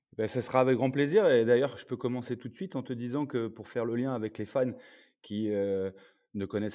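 Using a normal speaking voice, a man goes at a moderate pace and varies his pitch in an ordinary way. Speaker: former American football player and sports consultant. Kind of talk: casual chat.

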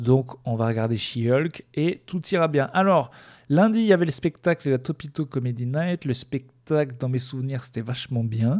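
A man talks at a medium pitch and a fairly slow pace. The recording is very clean, with a silent background. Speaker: stand-up comedian and podcaster. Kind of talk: stand-up comedy, deadpan dark-humor routine on tour, news and depression jokes. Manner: rambling, halting, hesitant with many fillers and restarts.

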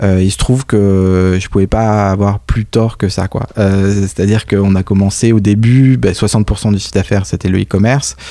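With ordinary pitch variation and a fairly low pitch, a man talks at a moderate pace. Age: 30s. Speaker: entrepreneur, company founder. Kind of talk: interview. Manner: hesitant, many fillers and repetitions.

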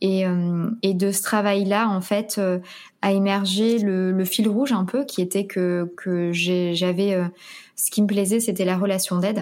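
In a very clean recording with a silent background, a woman at medium pitch talks at a fairly slow pace with monotone, flat intonation. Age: 30s. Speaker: career coach and author. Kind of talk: interview. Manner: hesitant, many fillers.

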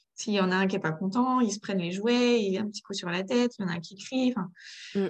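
A woman's voice at medium pitch, a normal speaking voice with ordinary pitch variation. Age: 30s. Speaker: mother of three in parenting coaching. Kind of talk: coaching conversation.

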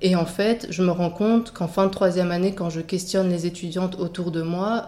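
A woman speaks with a dark, mellow tone, a fairly low pitch and fairly even intonation. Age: 30s. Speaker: midwifery student. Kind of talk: interview testimony.

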